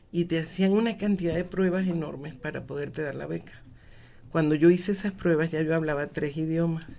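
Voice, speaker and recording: Fairly quick speech comes from a woman with a fairly low pitch. Her tone is dark and mellow, and her intonation is fairly even. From Mexico and Venezuela (25 years, from school age). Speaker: cultural management expert, lecturer. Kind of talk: radio interview.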